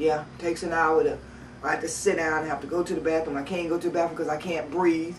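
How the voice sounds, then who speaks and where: A woman talks at a very fast pace with monotone, flat intonation, amid noticeable background noise and audible room echo. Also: fairly low pitch for a woman. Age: 50s. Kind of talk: personal testimony to camera. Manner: halting.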